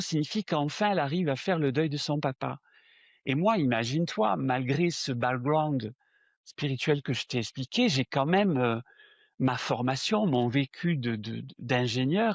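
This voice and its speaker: A fairly high-pitched man's voice at a very slow pace, with lively intonation and a southern French accent. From southern France. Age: 60s. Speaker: spiritual medium. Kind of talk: interview. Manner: hesitant, with fillers and repetitions.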